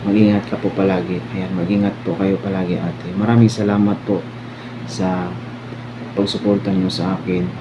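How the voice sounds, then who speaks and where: A man with a fairly low pitch speaks at a moderate pace with ordinary pitch variation, amid audible room echo and noticeable background noise. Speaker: online community head moderator. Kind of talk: anniversary thank-you speech.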